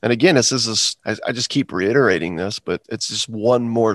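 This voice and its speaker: A man speaks in a normal speaking voice, fairly low in pitch, at a moderate pace with ordinary pitch variation. The sound is dry and close with no echo, over a quiet background. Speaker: podcast co-host. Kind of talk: casual bible study chat.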